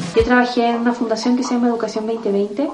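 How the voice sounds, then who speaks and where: Music plays in the background. A woman with a fairly high pitch speaks at a very fast pace. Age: 40s. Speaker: life coach. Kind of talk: interview conversation.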